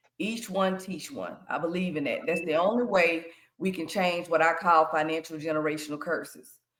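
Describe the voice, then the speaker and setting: A woman's fairly low voice with audible room echo. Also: ordinary pitch variation, moderate pace. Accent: American. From US South, Shreveport, Louisiana. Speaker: financial educator and credit consultant. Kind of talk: workshop presentation to young people.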